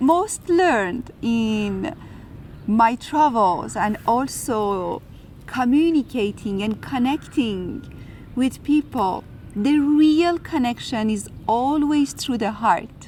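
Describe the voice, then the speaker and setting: This woman talks very slowly with an Iranian accent, her pitch high. Her voice swings very widely up and down. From Iran and France. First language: Farsi. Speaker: spiritual video host. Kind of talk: reflective spiritual talk.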